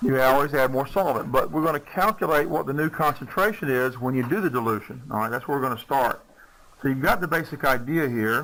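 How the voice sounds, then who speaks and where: A fairly high-pitched man with a Southern US accent talks at a very fast pace. His tone is bright and sharp, with ordinary pitch variation. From US South. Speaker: chemistry teacher. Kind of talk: lecture.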